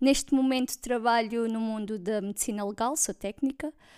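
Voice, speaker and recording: On a very clean recording with a silent background, a woman with a slight Alentejo accent speaks at a moderate pace in a fairly high voice. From Portugal, Alentejo (Vendas Novas). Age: 20s. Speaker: podcast co-host, forensic technician. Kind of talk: casual chat.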